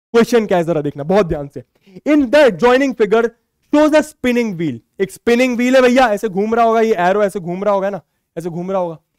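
A man with a high voice speaks at a moderate pace in an animated tone with lively intonation, recorded dry and close with no echo. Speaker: maths teacher. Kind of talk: lecture.

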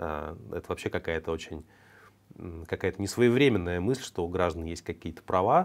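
Lively intonation marks this delivery, which is broken up by long, frequent pauses. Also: man, very deep, low pitch for a man, moderate pace. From Russia. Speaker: news commentary host. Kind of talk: news commentary monologue. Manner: conversational, with filler hesitations. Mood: ironic, critical. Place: studio.

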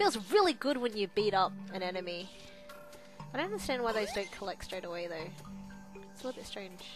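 A woman's medium-pitched voice at a fairly quick pace, with ordinary pitch variation, big swings in loudness and music in the background. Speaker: let's play gamer. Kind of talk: casual gameplay commentary. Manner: sleepy-sounding.

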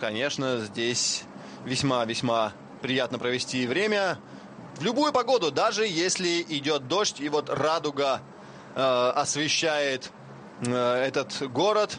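At a very slow pace with long, frequent pauses, a man speaks at fairly high pitch with lively intonation and very even loudness. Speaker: cycling commentator. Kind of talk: live commentary. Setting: TV broadcast. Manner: frequent filler hesitations.

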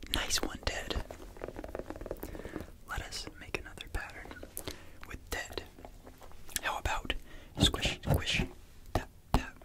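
Whispering from a man at a very slow pace, with long, frequent pauses. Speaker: ASMR creator. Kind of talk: ASMR whispered tapping video, soft guiding narration. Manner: whispered, soft-spoken, slow, laid back. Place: home room. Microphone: studio mic.

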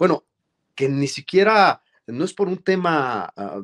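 Against a quiet background, a man is speaking. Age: 40s. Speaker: journalist and lawyer, political hopeful; journalist, lawyer. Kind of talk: interview. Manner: formal. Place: office. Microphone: webcam.

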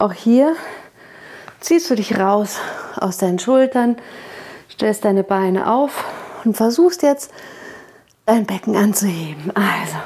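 With lively intonation, a woman speaks at a very slow pace. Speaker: fitness instructor. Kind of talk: workout instruction. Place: studio.

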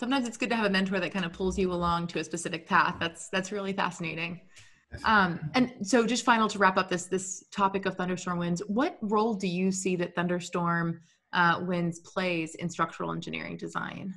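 A woman talks at a fairly quick pace with an American accent. Her medium pitch holds fairly even intonation over a quiet background. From Texas. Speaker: podcast co-host and engineer. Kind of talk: podcast interview. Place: home room. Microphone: video call.

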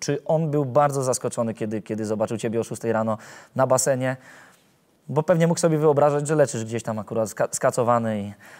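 Very fast speech with ordinary pitch variation over a quiet background. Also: man. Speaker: sports journalist. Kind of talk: interview questions. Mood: friendly, smiling. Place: hall. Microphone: lapel.

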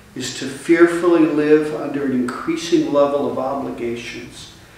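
The speaker keeps a moderate pace with ordinary pitch variation. Strong room echo surrounds the voice. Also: man. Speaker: bishop preaching. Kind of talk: sermon. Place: church. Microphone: camera far.

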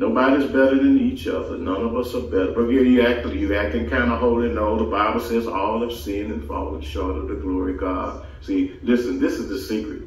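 A man talks at a moderate pace. Audible room echo carries through the recording. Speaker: preacher. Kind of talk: sermon. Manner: halting, repeats words. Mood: warm, earnest preaching. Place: home room.

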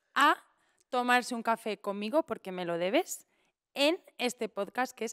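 Over a quiet background, a woman talks at a moderate pace. Her pitch varies in an ordinary way. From Spain, Valencia region. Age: 30s. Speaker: impressionist and poet; podcast guest. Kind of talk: casual chat. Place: studio. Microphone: studio mic.

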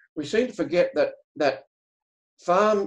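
Over a quiet background, a man speaks with an Australian accent. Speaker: farmer and regenerative agriculture educator; regenerative agriculture educator. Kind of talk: webinar presentation. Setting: video call. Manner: halting. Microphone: video call.

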